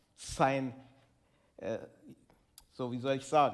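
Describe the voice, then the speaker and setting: Audible room echo around a man's voice of medium pitch. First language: Turkish. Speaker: musician and co-host. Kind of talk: live conversation on stage. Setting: stage with audience. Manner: halting.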